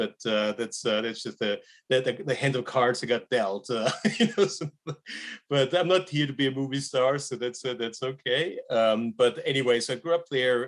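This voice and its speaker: With an Austrian accent, a man talks at a fairly quick pace. His pitch is medium and his pitch variation ordinary. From Austria, Graz. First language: German. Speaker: wealth management research director. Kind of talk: casual interview.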